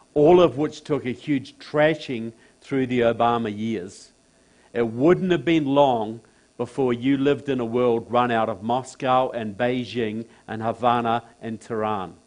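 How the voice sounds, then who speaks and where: Medium-pitched male speech with a New Zealand accent, at a fairly slow pace with ordinary pitch variation. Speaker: political speaker. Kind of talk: public talk. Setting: stage with audience in a church.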